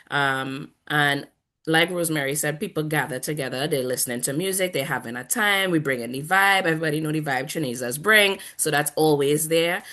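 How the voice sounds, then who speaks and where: A woman with a Trinidadian accent speaks at a very deep, low pitch in a bright, sharp tone. She talks at a fairly quick pace with hardly any pauses against a quiet background. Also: ordinary pitch variation. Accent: Trinidadian, used on purpose here. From Trinidad and Tobago. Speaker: panel guest. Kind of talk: casual panel discussion.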